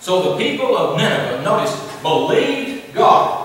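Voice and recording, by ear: A man with a fairly bright tone and high pitch makes big pitch swings at a fairly slow pace amid strong room echo.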